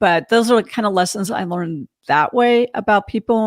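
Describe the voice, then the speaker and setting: On a very clean recording with a silent background, a woman talks at a fairly quick pace, the sound dry and close with no echo. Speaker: podcast host. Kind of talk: interview conversation. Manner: fast.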